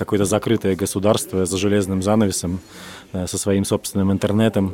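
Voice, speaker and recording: There is noticeable background noise as a man speaks fairly quickly at a fairly low pitch. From Russia. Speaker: journalist, podcast co-host. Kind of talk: casual chat.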